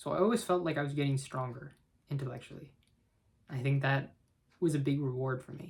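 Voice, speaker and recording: A somewhat breathy male voice with fairly even intonation. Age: 20s. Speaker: chemical engineer. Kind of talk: casual talk to camera.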